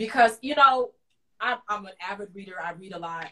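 Over a quiet background, a woman speaks in an animated, bright, sharp tone. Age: 20s. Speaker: talk show host. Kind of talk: casual interview. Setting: live video stream. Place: home room. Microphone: video call.

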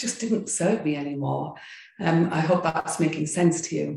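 Speaking at a moderate pace, a woman uses a fairly low pitch. Audible room echo hangs around her voice over a quiet background. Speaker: yoga and meditation teacher. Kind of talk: interview. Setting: video call. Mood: warm, reflective storytelling. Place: home room. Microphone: video call.

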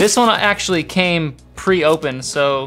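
There is music in the background. A man speaks with ordinary pitch variation. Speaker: family vlogger. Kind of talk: casual vlog chat. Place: home room. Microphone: camera far.

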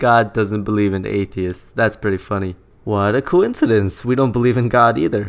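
A man with a normal speaking voice, fairly low in pitch, with ordinary pitch variation at a moderate pace. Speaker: YouTube commentator. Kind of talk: commentary video, casual talk to camera. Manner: sarcastic, critical.

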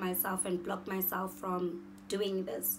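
A woman at medium pitch, speaking at a very slow pace over light background noise. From South Africa, Pretoria. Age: 20s. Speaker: beauty YouTuber. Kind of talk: vlog introduction. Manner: animated. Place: home room. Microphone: phone near.

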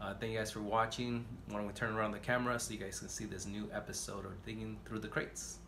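Against noticeable background noise, a man talks at a very fast pace with monotone, flat intonation. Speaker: record collector vlogger. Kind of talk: casual vlog chat. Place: home room.

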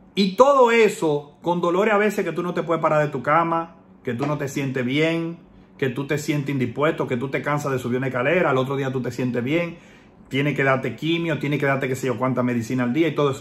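A man speaks in a plain, everyday voice, fairly high-pitched, with ordinary pitch variation and a fairly quick pace. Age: 30s. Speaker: political commentator, online activist. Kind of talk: personal video message.

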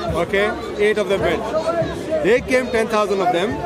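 A man talks over loud background noise in a dry space with no echo. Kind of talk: heated debate. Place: open country.

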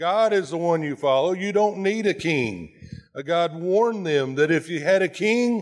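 Over a quiet background, a high-pitched man talks with ordinary pitch variation. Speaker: pastor preaching. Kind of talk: sermon. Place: church.

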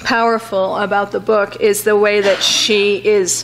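The speech moves at a fairly slow pace with light background noise. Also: woman. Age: 50s. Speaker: associate professor, book reviewer. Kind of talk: book review talk to audience. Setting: library auditorium with live audience. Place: hall. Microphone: podium.

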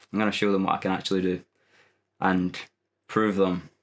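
A man with a Scottish accent talks fairly quickly in a very deep, low voice and a flat monotone, over a quiet background. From Dumfries, Scotland. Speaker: primary school teacher. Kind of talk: interview answer. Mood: amused, determined. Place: gym. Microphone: lapel.

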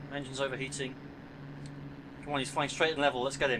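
Speech races along at a very fast pace while noticeable background noise is heard. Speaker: gameplay commentator. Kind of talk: casual gameplay commentary. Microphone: headset.

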